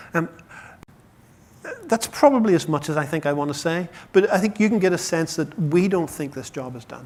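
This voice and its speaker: A fairly quick delivery in an Irish accent, with ordinary pitch variation and long, frequent pauses. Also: man, high pitch for a man, big swings in loudness. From Ireland. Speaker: chief scientific officer of a patient charity. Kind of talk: conference talk. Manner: fast.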